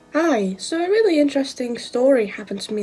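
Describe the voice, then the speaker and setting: Music plays in the background as a woman talks in a British accent. Her pitch variation is ordinary. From UK. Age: young. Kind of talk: casual talk to camera.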